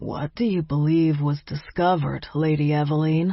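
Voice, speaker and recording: This put-on character voice moves at a moderate pace with fairly even intonation. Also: woman, very deep, low pitch for a woman. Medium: read story. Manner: blunt, businesslike.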